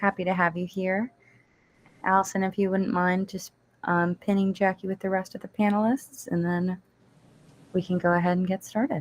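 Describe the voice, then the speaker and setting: With long, frequent pauses, a woman speaks at a moderate pace in an American accent. Her pitch is medium and her intonation fairly even. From Washington DC area, US. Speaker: event organizer. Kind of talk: live panel discussion.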